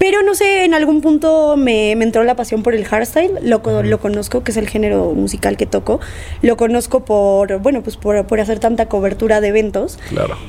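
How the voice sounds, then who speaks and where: Against noticeable background noise, a woman with a fairly high voice and lively intonation speaks at a moderate pace with hardly any pauses. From Argentina. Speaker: DJ and producer. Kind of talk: casual interview.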